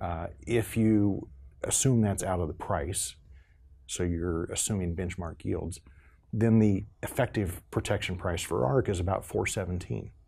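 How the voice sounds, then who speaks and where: A somewhat breathy voice with a dark, mellow tone moves at a fairly slow pace with ordinary pitch variation. The recording is very clean, with a silent background. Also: man, very deep, low pitch for a man. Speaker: agricultural extension educator. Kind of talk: interview explaining farm programs. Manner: halting, many fillers.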